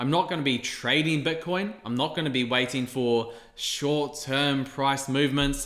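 A man speaks with a New Zealand accent at a moderate pace, his pitch fairly high and his intonation fairly even. He barely pauses, and audible room echo surrounds his voice. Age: 20s. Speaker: YouTuber on investing. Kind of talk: casual monologue to camera. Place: home room.

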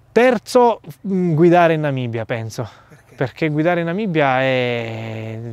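The man's voice comes through dry, with no echo. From Sicily, Gela; Sicily. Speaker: travel reporter and youtuber; travel reporter, youtuber. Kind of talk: interview. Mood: reflective, relaxed. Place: open country. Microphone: lapel.

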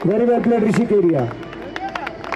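A man talks in an animated, enthusiastic tone, high in pitch, at a fairly slow pace with lively intonation. Crowd noise runs in the background. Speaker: cricket commentator. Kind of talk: live commentary. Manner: animated, enthusiastic play-by-play with excited praise.

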